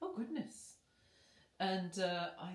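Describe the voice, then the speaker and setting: A woman's voice swings very widely in pitch. It is somewhat breathy. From British Columbia, Canada. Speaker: singer. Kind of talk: casual chat. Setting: friend's home, filmed on camera. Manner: animated.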